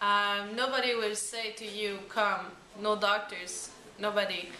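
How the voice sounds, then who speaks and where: There is audible room echo and noticeable background noise. A woman speaks in a Quebec accent. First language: French. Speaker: parent of a patient. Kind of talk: interview. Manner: halting.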